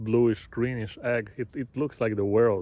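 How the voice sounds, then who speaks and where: A man with a Bulgarian accent speaks in a dark, mellow tone at a medium pitch. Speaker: travel vlogger. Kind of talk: casual vlog narration. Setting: outdoors, walking on street at night. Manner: halting, many fillers.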